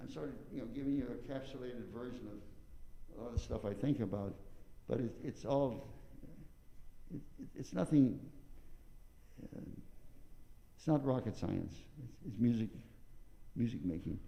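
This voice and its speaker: A man with an American accent at a medium pitch, dark and mellow in tone with vocal fry, ordinary pitch variation, a moderate pace, long, frequent pauses, big swings in loudness, and audible room echo. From US Midwest, southern Illinois. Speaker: trumpet teacher. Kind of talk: masterclass. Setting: recital hall. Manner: mumbling.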